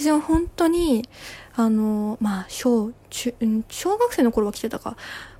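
A relaxed voice speaks at a fairly slow pace with ordinary pitch variation. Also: woman. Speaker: podcaster, office worker. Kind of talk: solo casual monologue. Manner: relaxed, many fillers.

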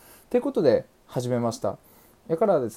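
A man's voice with a dark, mellow tone. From Aichi, Japan. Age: 20s. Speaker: podcaster, salesperson. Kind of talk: self-introduction monologue. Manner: casual, fast-flowing.

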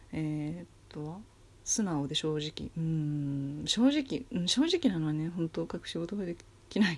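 Soft-spoken, this speaker moves at a fairly slow pace. The pitch shows ordinary variation. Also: woman, fairly low pitch for a woman. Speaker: solo podcaster. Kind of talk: casual monologue. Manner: quiet, low energy at night.

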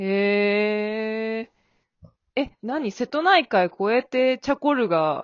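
A woman with a fairly high pitch speaks at a very slow pace, her intonation lively. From Kyushu, Japan. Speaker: podcast host. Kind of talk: casual chat. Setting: remote recording.

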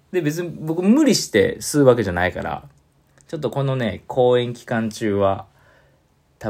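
A man with a medium pitch talks at a moderate pace in a Kansai accent, his voice making very wide pitch swings. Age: 40s. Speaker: saxophone player. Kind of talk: casual monologue.

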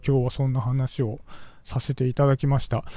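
A man talks at a moderate pace in a dark, mellow tone. The recording is very clean, with a silent background. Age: 40s. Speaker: podcaster. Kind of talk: casual monologue. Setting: outdoors, walking.

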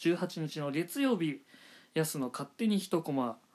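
Recorded very cleanly with a silent background, a man speaks at a high pitch. His pitch swings very widely. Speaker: manga review podcaster. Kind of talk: solo podcast monologue. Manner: fast; polite formal.

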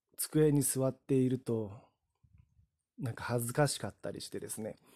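A man with a dark, mellow tone speaks at medium pitch and a moderate pace, with ordinary pitch variation. The sound is dry and close, with no echo. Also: long, frequent pauses, big swings in loudness. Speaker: podcaster. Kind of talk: solo talk monologue. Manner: frequent fillers like ano.

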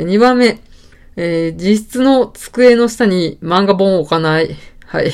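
A woman speaks in a normal speaking voice at a medium pitch, fairly slowly, with lively intonation. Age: 30s. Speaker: podcaster, office worker. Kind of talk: casual solo talk. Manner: relaxed, many fillers.

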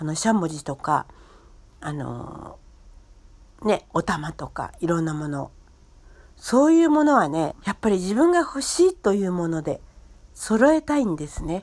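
Her pitch is medium, with very wide swings. The woman speaks at a fairly slow pace with long, frequent pauses. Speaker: podcaster. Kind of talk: casual monologue.

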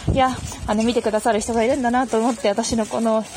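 At a very fast pace, a woman speaks in a high pitch with ordinary pitch variation over noticeable background noise. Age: 20s. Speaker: podcast host. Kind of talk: casual monologue answering listener mail. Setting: outdoors, walking to a station in light rain.

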